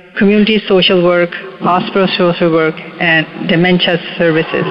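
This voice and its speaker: Noticeable background noise sits behind a woman speaking at a medium pitch. She keeps a moderate pace and fairly even intonation. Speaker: radio show co-host. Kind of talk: guest introduction.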